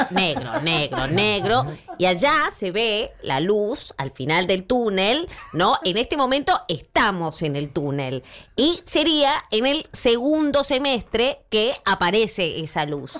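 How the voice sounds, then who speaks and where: A woman speaks at a very slow pace with vocal fry. Her fairly high pitch moves in very wide swings. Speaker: humorist making satirical videos. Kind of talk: casual chat.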